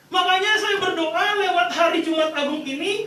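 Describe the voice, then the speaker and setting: Amid audible room echo, a man with an extremely high pitch projects a raised voice at a moderate pace. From Indonesia, Manado (North Sulawesi). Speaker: pastor. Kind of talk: sermon. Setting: church service with congregation.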